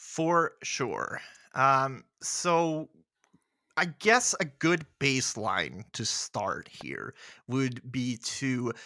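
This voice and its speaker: Speaking at a very slow pace with a slight Swedish accent, a man has a bright, sharp tone, medium pitch and ordinary pitch variation, on a very clean recording with a silent background. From Sweden. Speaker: podcast host. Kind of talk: casual chat.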